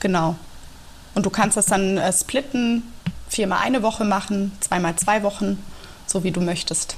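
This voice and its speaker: A calm-toned woman at medium pitch, with ordinary pitch variation, very even loudness and long, frequent pauses. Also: moderate pace. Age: 30s. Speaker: teacher and yoga teacher. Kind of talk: casual interview. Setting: video call. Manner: calm and clear.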